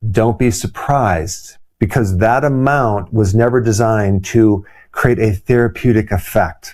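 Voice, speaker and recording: A man's medium-pitched voice with ordinary pitch variation and a dark, mellow tone. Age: 60s. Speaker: chiropractor. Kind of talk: health explainer talk to camera.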